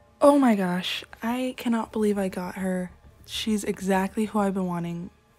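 Music plays in the background as a woman speaks. She talks at a fairly slow pace with ordinary pitch variation. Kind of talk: casual gaming commentary. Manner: excited, animated.

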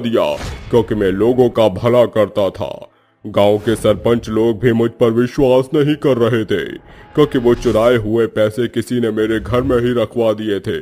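Faint music plays in the background of this cartoonish character voice. The delivery moves at a moderate pace. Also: man. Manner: sorrowful, subdued.

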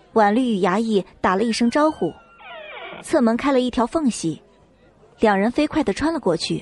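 Her voice is fairly high for a woman, with lively intonation and a slightly husky edge. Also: moderate pace.

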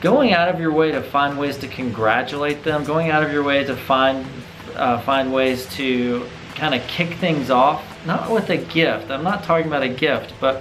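A man's fairly high voice at a moderate pace, relaxed in tone, with ordinary pitch variation and noticeable background noise. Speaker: business owner / consultant making business video blog. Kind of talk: casual talk to camera. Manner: conversational, relaxed.

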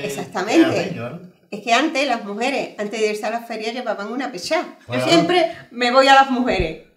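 With lively intonation and a fairly high pitch, a woman talks at a moderate pace amid audible room echo. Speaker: friend sharing memories. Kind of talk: casual conversation. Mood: warm, animated, laughing. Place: home room.

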